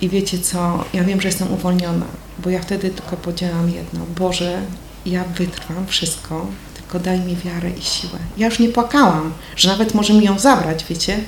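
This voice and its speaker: Through noticeable background noise and audible room echo, a woman speaks at medium pitch with fairly even intonation. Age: 50s. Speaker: churchgoer giving testimony. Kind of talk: testimony. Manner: casual, conversational.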